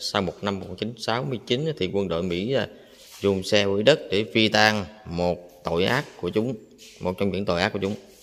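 A man's fairly low voice at a fairly slow pace, ordinary pitch variation, and faint music in the background. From Vietnam. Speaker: travel vlogger. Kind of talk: vlog walking tour narration. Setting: outdoors at a memorial site and museum. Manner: halting, many fillers. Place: hall. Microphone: phone near.

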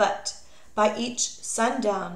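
Very slow speech from a woman, with noticeable background noise behind it. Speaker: audiobook reader. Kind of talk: reading aloud a children's biography, clear scripted narration. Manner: steady, measured, clear storytelling pace.

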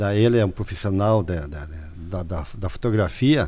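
A man's voice comes through on a very clean recording against a silent background. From Santa Catarina, southern Brazil. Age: 60s. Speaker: mayor. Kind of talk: interview.

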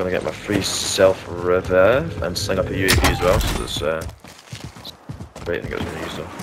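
Amid noticeable background noise and audible room echo, a man with a very deep, low voice talks at a fairly quick pace with ordinary pitch variation and long, frequent pauses. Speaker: gamer. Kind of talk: casual chat.

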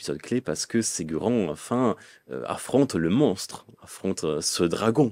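Very deep and low, a man's dark, mellow voice moves at a fairly slow pace with very wide pitch swings, the sound dry with no echo. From northern Italy, Lombardy. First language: Italian (speaking French). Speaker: medievalist scholar; guest. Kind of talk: interview. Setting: studio. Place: studio. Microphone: studio mic.

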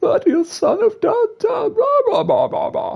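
Putting on a character voice, a man speaks fairly slowly at an extremely high pitch. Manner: manic, theatrical.

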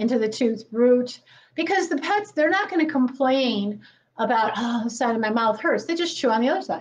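This is a woman speaking. Her pace is moderate. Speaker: presenter. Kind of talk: lecture. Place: classroom. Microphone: camera far.

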